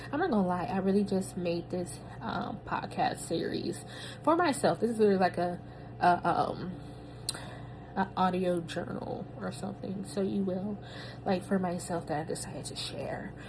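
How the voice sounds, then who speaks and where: A woman's medium-pitched voice, with ordinary pitch variation, comes through audible room echo. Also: moderate pace. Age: 30s. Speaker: podcaster, new doctoral graduate. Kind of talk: personal audio journal, casual reflection. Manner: casual, filler-heavy.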